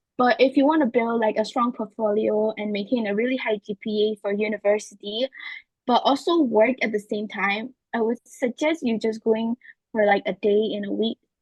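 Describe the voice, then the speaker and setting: A woman's somewhat breathy voice, fairly high in pitch, moves at a moderate pace with ordinary pitch variation. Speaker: polytechnic student. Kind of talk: interview answers.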